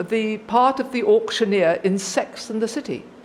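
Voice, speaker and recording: A fairly high-pitched woman's voice with a British accent, over noticeable background noise. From Britain. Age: 60s. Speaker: recovering alcoholic speaker. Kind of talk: testimony.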